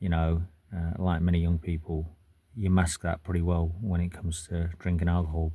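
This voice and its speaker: In a British accent, a man speaks with a very deep, low pitch, a dark, mellow tone, a somewhat breathy quality and monotone, flat intonation, on a very clean recording with a silent background. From UK. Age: 40s. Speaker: military veteran vlogger. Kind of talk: personal testimony to camera. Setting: in a car. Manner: halting, many fillers.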